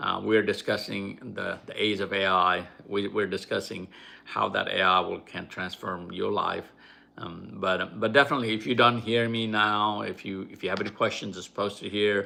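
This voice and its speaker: On a very clean recording with a silent background, a man with a non-native accent speaks at a moderate pace, his fairly low voice carrying a bright, sharp tone. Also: fairly even intonation. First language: not English. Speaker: YouTuber. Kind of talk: live stream talk. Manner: halting.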